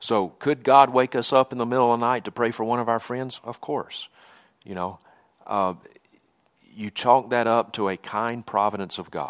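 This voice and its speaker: A man's medium-pitched voice at a moderate pace, with long, frequent pauses, fairly even intonation, and a dry, close sound without echo. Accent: Southern US. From Mississippi, US South. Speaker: preacher. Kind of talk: sermon. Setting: church.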